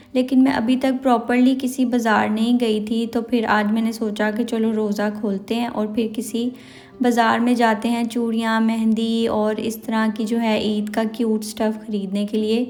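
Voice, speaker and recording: A woman with a fairly high pitch speaks in a monotone, flat way with hardly any pauses, over background music and audible room echo. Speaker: vlogger. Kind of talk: shopping vlog.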